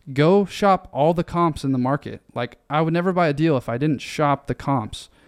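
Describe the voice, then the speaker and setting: On a very clean recording with a silent background and a dry, close sound with no echo, a man speaks at a moderate pace with ordinary pitch variation in an ordinary speaking voice. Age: 20s. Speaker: investment firm founder. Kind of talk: casual interview chat.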